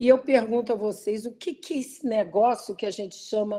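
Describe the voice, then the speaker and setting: The voice is a normal speaking voice, delivered at a moderate pace. Pitch varies in an ordinary way. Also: woman. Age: 60s. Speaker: professor. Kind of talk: lecture.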